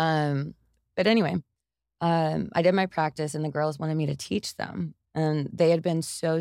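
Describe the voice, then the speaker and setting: A woman with an American accent and a very deep, low pitch speaks at a moderate pace on a very clean recording, with a silent background and a dry, close sound with no echo. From East Texas, US. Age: 30s. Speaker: yoga instructor. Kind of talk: casual interview chat.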